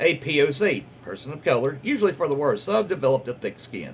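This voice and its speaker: A man's fairly high voice with vocal fry at a fairly quick pace. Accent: Southern US. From Southern US, Alabama. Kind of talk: casual reading of online stories. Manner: relaxed, hesitant.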